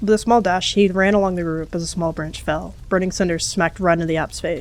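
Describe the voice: Intonation stays fairly even throughout this plain reading aloud.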